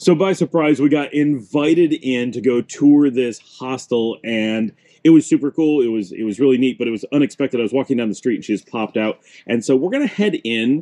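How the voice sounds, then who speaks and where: Over a quiet background, a man talks in a dark, mellow tone. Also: ordinary pitch variation, fairly quick pace. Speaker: travel vlogger. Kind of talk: casual vlog chat. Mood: pleased, enthusiastic. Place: garden. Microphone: phone near.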